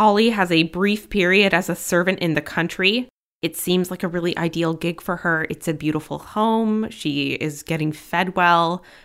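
Moderate pace and ordinary pitch variation in an unremarkable speaking voice. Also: woman. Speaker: podcast host. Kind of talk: true-crime narration. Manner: grave, measured, somber storytelling delivery with a clear warning tone.

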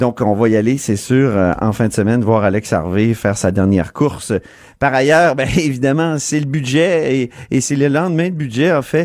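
A normal speaking voice moves at a moderate pace with lively intonation and very even loudness, recorded very cleanly against a silent background. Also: man, medium pitch for a man. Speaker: political radio host. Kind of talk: radio talk show. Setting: studio.

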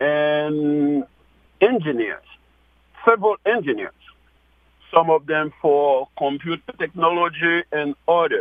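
Very slow pace from a man with high pitch and ordinary pitch variation. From Haiti (Gonaives). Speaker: deacon and charity founder. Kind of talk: radio interview.

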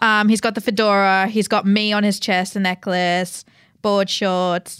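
A woman speaks at a moderate pace in an unremarkable speaking voice, medium in pitch, on a very clean recording with a silent background. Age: 20s. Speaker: podcast co-host, social media producer. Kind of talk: casual chat.

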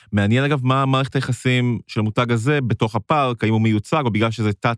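Recorded very cleanly against a silent background, with a dry, close sound and no echo, a plain, everyday voice moves at a fairly quick pace with ordinary pitch variation. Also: man. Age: 30s. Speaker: gaming podcast co-host. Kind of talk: casual chat. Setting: studio.

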